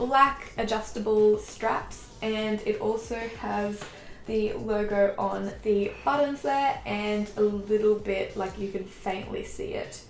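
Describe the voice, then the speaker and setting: Over light background noise and audible room echo, a woman speaks at a very slow pace. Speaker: fashion vlogger. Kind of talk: casual haul review chat. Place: home room.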